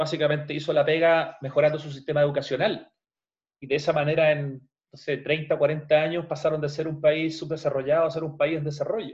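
A man with a fairly high voice talks at a fairly quick pace in a monotone, flat intonation. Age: 50s. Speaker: journalist and radio host. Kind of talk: podcast interview.

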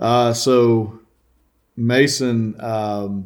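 Speaking with an American accent at a medium pitch, a man keeps his intonation fairly even on a very clean recording with a silent background. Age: 30s. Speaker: outdoor video production company owner. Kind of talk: casual chat.

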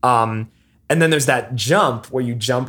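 With a plain, everyday voice, a man talks at a moderate pace and ordinary pitch variation on a very clean recording with a silent background. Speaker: video game podcast co-host. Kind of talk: casual chat.

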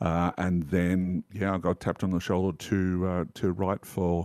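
In an Australian accent, a man speaks fairly slowly with a very deep, low pitch. The recording is very clean with a silent background, and the sound is dry and close with no echo. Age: 50s. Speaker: tabletop game writer. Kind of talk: casual chat.

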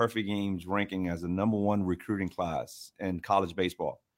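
Fairly low-pitched man with a New York accent in a very clean recording, background silent. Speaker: podcast co-host, baseball coach. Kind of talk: casual sports chat. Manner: fast.

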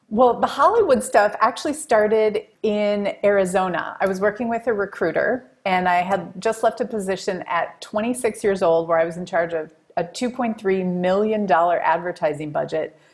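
A woman with an American accent uses an ordinary speaking voice at medium pitch, speaking at a moderate pace with lively intonation and hardly any pauses. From Wisconsin, US Midwest. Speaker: marketing executive and author. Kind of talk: podcast interview.

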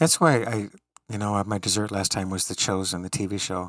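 Here is a normal speaking voice, its pitch varying in an ordinary way at a moderate speed. Nothing sounds behind it in this very clean recording with a silent background. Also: man. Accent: General American. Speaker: college professor. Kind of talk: casual conversation.

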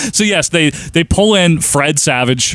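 Here a man talks at a moderate pace in an unremarkable speaking voice. His intonation is lively. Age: 30s. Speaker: podcast host. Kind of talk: casual chat.

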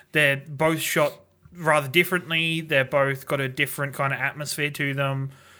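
A man with an Australian accent, fairly high-pitched, bright and sharp in tone, monotone and flat at a moderate pace, on a very clean recording with a silent background. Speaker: podcast co-host. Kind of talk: casual chat.

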